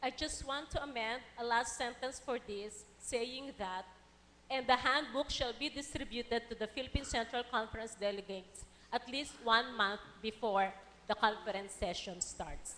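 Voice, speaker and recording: Through noticeable background noise, a woman speaks at a moderate pace with a fairly high pitch and ordinary pitch variation. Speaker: church conference delegate. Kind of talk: formal floor motion in a meeting. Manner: formal.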